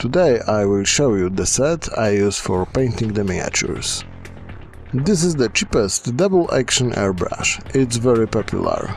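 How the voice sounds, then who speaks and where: A man with a non-native accent and a medium pitch uses lively intonation at a moderate pace and very even loudness, with music in the background. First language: not English. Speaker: miniature painting hobbyist. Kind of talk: tutorial.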